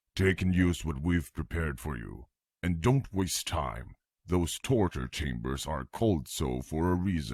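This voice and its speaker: A man puts on a character voice with a very deep, low pitch at a moderate pace. The recording is very clean, with a silent background. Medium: machinima. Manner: brisk, self-assured.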